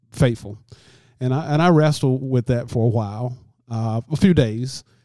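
A man with a Southern US accent speaks in a dark, mellow tone. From US South, Alabama. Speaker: musician and hospice volunteer. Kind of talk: interview. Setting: studio.

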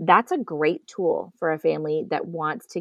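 Her pitch fairly low and varying in an ordinary way, a woman speaks with an unremarkable speaking voice. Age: 50s. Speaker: online safety advocate. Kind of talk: interview.

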